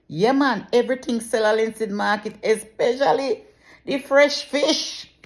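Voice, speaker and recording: A woman's high voice with a Jamaican accent, at a fairly slow pace, in a very clean recording with a silent background. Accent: speaks Jamaican patois. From Jamaica, Saint Catherine. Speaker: journalist, mother. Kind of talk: casual talk to camera.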